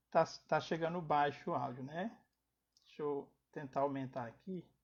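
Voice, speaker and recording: Soft-spoken and somewhat breathy, a man talks at a moderate pace in a fairly high pitch with ordinary pitch variation. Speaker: spiritist lecturer. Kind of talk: lecture. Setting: online live stream.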